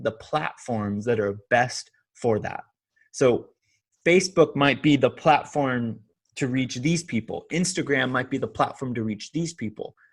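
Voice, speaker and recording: This man has a Californian accent, medium pitch and ordinary pitch variation, speaking at a moderate pace. The recording is very clean, with a silent background. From Southern California. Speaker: online pastor. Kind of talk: interview. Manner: halting.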